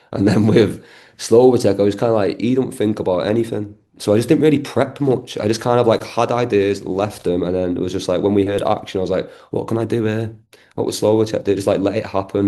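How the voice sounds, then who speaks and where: With a strong Manchester accent, a man speaks at a fairly low pitch in a dark, mellow tone. His pace is fairly quick and his intonation fairly even. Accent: thick Manchester. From Manchester, northern England. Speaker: actor. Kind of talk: interview. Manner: fast, filler-heavy casual speech.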